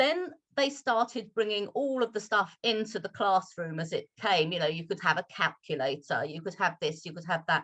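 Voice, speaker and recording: A woman speaks at a medium pitch and a moderate pace against a quiet background. Her pitch swings very widely. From London, England. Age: 60s. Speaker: English teacher. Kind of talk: Q&A talk at online teacher meetup. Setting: video call.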